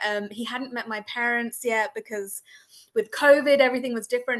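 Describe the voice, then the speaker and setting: Fairly quick, fairly even speech in an English accent. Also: woman. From England. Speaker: breast cancer survivor, support group facilitator. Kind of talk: panel discussion.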